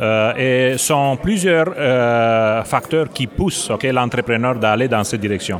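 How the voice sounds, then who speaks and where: Noticeable background noise surrounds the recording. A man speaks with a Romanian accent in a medium pitch. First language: Romanian (speaking French). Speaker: business executive. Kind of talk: interview. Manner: hesitant, many fillers.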